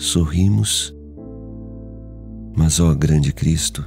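Music plays in the background. A man with a very deep, low voice speaks with lively intonation. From Brazil. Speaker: voice actor. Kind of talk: poetry reading.

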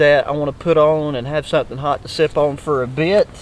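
A man talks in a dry sound with no echo. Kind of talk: casual vlog chat. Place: forest.

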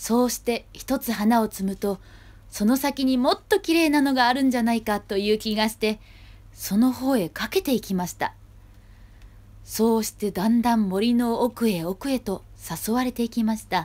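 In a normal speaking voice, a woman talks at a fairly high pitch and a moderate pace with ordinary pitch variation. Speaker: actor performing a storybook reading. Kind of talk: children's storybook reading. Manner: gentle storytelling narration.

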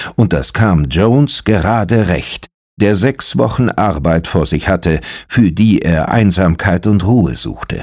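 With vocal fry and a fairly low pitch, a man speaks at a fairly slow pace. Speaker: audiobook narrator. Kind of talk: ghost story reading aloud, hushed bedtime-style audiobook narration. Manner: slow, measured, hushed and suspenseful.

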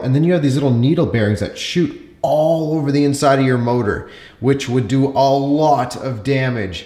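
A man with ordinary pitch variation and audible room echo. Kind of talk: tutorial. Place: home room.

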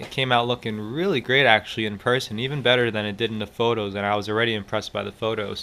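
A man's fairly quick, monotone, flat delivery. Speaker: car owner vlogger. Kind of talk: casual vlog chat. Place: garage. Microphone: phone near.

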